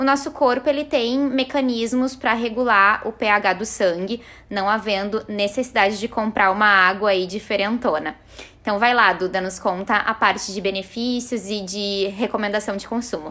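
Here a woman's voice sits at a fairly high pitch. Her tone is bright and sharp, with ordinary pitch variation. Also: moderate pace. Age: 30s. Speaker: nutritionist. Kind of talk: podcast tips chat.

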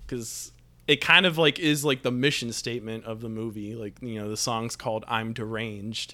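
A man speaks in a bright, sharp tone. His loudness swings widely. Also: medium pitch for a man, ordinary pitch variation, moderate pace. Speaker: film podcast co-host. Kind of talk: casual chat.

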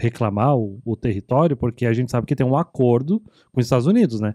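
A medium-pitched man with a dark, mellow tone at a fairly quick pace, on a very clean recording with a silent background and a dry, close sound with no echo. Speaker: podcast host. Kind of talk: casual chat.

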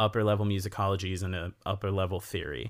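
In a very clean recording with a silent background, a man speaks with an American accent at a moderate pace. He has an unremarkable speaking voice and a fairly low pitch. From US Midwest, small town in Wisconsin. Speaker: percussionist and music teacher. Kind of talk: casual interview chat.

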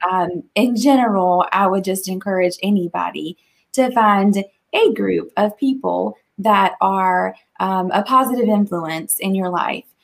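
A woman with an American accent talks fairly slowly in a normal speaking voice at a medium pitch, with ordinary pitch variation. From Eastern North Carolina. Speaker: small business employee. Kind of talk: casual chat.

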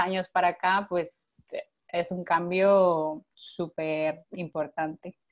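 Very slowly and in a monotone, flat intonation, a woman speaks at a fairly low pitch. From Costa Rica. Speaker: physiotherapist and Pilates teacher. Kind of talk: casual interview.

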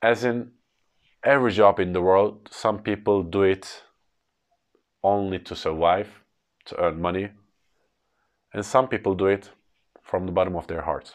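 This man has a Turkish accent and fairly even intonation. He leaves long, frequent pauses. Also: fairly low pitch for a man, moderate pace, quiet background. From Turkey. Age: 30s. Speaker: English tutor. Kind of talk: educational podcast monologue.

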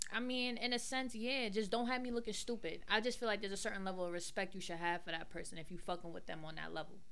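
Amid noticeable background noise and audible room echo, a woman talks very fast at a medium pitch with hardly any pauses. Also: ordinary pitch variation. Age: 20s. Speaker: podcast guest. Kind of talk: casual chat.

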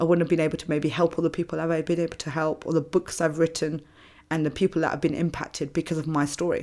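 A woman with a London accent, fairly low in pitch, at a very fast pace in a monotone, flat delivery. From London, England (British Indian family). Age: 30s. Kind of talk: personal testimony in interview.

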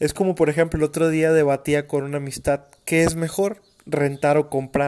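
A man with a Mexican accent and a fairly high pitch. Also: moderate pace. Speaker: podcast host. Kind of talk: casual monologue. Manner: animated.

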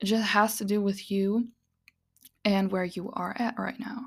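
At a fairly slow pace, a woman with a non-native accent and a fairly high pitch keeps her intonation fairly even in a very clean recording with a silent background. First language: not English. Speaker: podcast host, witch and tarot reader. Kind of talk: solo podcast monologue. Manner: casual and rambling with frequent laughs.

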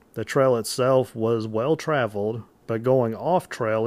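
Recorded very cleanly with a silent background, a man with an American accent speaks in an ordinary speaking voice at a medium pitch, with ordinary pitch variation and a fairly slow pace. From southern Illinois. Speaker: paranormal podcast co-host. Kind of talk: casual chat with scripted storytelling.

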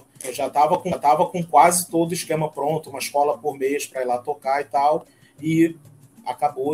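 A man talks at a fairly high pitch and moderate pace. Music is in the background. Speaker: samba parade announcer. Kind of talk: casual chat.

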